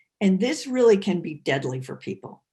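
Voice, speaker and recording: Her voice is somewhat breathy and sits at a medium pitch, moving at a fairly quick pace with very wide swings in pitch. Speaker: defense attorney. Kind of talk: lecture.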